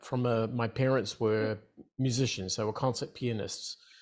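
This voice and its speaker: This is a man speaking with an Australian accent. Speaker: entrepreneur. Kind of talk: interview.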